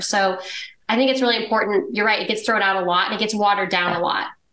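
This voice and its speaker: Clear background noise accompanies a very rapid talker with an American accent. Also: woman. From Texas. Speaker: real estate investor. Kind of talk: casual interview chat.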